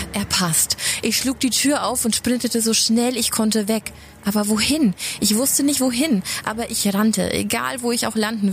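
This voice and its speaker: Over noticeable background noise, a woman talks at a moderate pace with a fairly high pitch for a woman. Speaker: creepypasta narrator. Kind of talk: scripted horror narration, first person.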